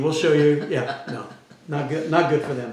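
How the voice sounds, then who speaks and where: Recorded with audible room echo and noticeable background noise, a man talks at a fairly high pitch. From Los Angeles, South Central. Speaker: comedian and pastor. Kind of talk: casual chat.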